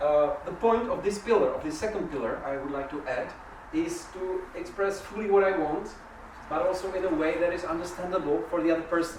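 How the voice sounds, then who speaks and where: The speaker has a non-native accent and a fairly quick pace. Noticeable background noise is present. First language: not English. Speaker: workshop facilitator. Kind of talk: interactive workshop talk. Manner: halting.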